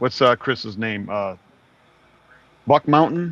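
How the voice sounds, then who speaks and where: A man with lively intonation is heard in a dry, close sound with no echo. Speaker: reselling podcast co-host. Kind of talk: casual chat. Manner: gets loud when excited.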